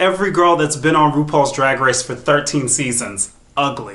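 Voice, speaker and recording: Room echo is audible as a man speaks at a fairly quick pace. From US South. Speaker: drag queen reviewer. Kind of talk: commentary reaction video.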